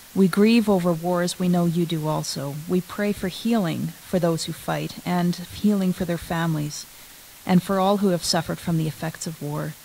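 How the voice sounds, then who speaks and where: A woman with a fairly low pitch speaks at a moderate pace and fairly even intonation over light background noise. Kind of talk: prayer and poem reading in a service. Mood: solemn, reverent. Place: church. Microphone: podium.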